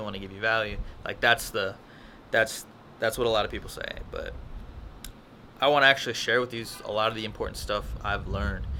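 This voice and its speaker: A man talks at a very fast pace. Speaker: vlogger. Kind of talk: casual vlog review. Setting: outdoors. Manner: halting, stuttering.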